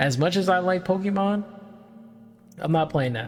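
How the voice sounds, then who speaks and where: Music plays behind a man whose pitch swings very widely. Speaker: VTuber. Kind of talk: casual rambling talk for sleep background. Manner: soft-spoken, relaxed.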